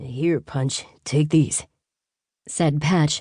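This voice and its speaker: A woman's very deep, low voice against a quiet background. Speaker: audiobook narrator. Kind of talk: audiobook narration.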